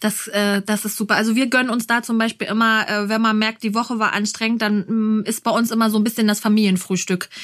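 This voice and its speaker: A woman talks at a fairly quick pace with a fairly high pitch. Her intonation is monotone and flat, and her loudness stays very even. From Berlin. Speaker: podcast host and mother. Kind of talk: interview.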